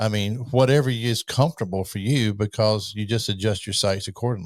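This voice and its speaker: Recorded very cleanly against a silent background, a man with a normal speaking voice talks at a fairly quick pace with fairly low pitch and ordinary pitch variation. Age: 60s. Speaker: podcast host. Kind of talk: interview. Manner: casual, conversational.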